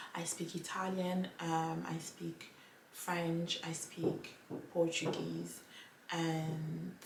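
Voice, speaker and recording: A woman speaks in a very deep, low pitch with a Ghanaian accent. Audible room echo and noticeable background noise surround her voice. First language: Twi. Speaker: language vlogger. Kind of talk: casual vlog talk to camera.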